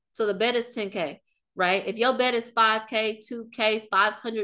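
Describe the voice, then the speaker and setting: Over a quiet background, a woman with an American accent speaks in a fairly high, bright, sharp voice with an animated tone. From US Midwest, Kansas City, Missouri. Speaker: marketing strategist and business coach. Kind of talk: webinar presentation. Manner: fast.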